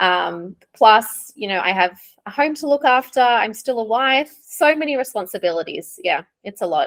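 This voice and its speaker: With an Australian accent, a woman speaks at a moderate pace in a fairly high voice that swings very widely in pitch. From Australia, Sydney and small NSW beach town. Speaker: ESL teacher. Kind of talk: interview.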